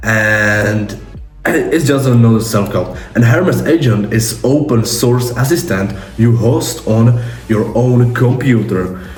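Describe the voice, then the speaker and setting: A man with a non-native accent and a medium pitch talks at a very slow pace with very even loudness. Audible room echo and background music are present. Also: ordinary pitch variation. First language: not English. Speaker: tech YouTuber. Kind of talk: tutorial. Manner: halting.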